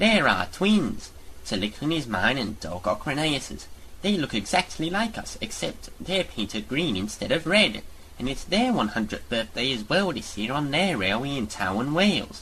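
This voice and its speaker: Over clear background noise, a man performs a put-on character voice at a fairly high pitch, with very wide pitch swings and a moderate pace. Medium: audio drama. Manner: genteel, storytelling.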